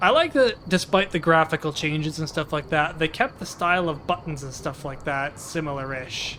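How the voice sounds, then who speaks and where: Quiet and at a moderate pace, a man speaks with a fairly high pitch and ordinary pitch variation. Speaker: gameplay streamer. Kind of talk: let's play commentary. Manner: lowered voice, quieter; casual, halting.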